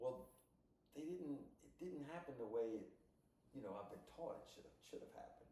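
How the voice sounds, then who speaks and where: A man talks at a fairly quick pace, yet with long, frequent pauses and big swings in loudness. Audible room echo surrounds his voice. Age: 60s. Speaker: podcast co-host. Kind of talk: casual chat. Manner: animated.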